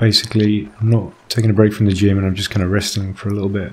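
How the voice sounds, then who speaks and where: A man speaks quietly in a relaxed tone with a fairly low pitch. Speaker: gaming YouTuber. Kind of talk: let's play commentary. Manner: relaxed narration.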